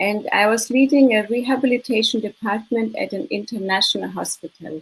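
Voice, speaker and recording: Fairly quick speech from a woman with a German accent, fairly high in pitch with ordinary variation. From Germany, Munich. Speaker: business consultant and mindset coach. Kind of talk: interview.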